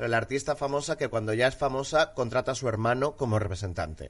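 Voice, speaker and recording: Using a plain, everyday voice, a man talks at a medium pitch, his pitch varying in an ordinary way. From Mallorca, Spain. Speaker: podcast co-host. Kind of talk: casual chat.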